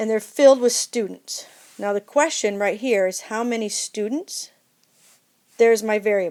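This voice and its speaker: Speaking at a moderate pace, a woman with fairly high pitch uses ordinary pitch variation in a plain, everyday voice. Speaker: math teacher. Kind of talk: tutorial.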